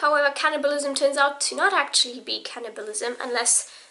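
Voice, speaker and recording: Over noticeable background noise, a woman raises and projects her high-pitched voice. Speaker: book vlogger. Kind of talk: casual vlog monologue. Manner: casual, with many fillers.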